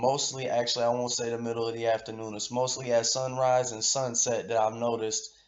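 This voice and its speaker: Over noticeable background noise, a man talks at a fairly quick pace, his medium-pitched voice monotone and flat. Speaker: conspiracy video creator. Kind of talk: commentary reading article aloud. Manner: halting, stuttering.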